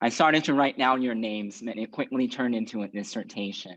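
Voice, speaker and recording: Against a quiet background, a man speaks at a medium pitch with ordinary pitch variation. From California, US (emigrated from Burma as a child). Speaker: judge. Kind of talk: formal speech.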